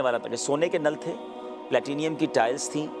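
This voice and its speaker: Music plays in the background as a man speaks. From Karachi, Pakistan. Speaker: Islamic scholar and preacher. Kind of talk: interview answer.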